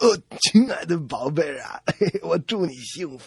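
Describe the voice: Lively intonation over plain reading aloud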